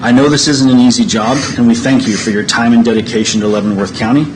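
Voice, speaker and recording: Someone with an American accent talks at a fairly quick pace with fairly even intonation, amid noticeable background noise and audible room echo. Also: man. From Kansas. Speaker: farmer. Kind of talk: public comment. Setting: public meeting.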